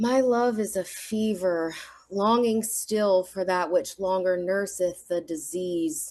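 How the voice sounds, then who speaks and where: With a Southern accent, the speaker talks at a very slow pace with ordinary pitch variation against a quiet background. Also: woman, medium pitch for a woman. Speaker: amateur sonnet reader. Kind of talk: reading aloud.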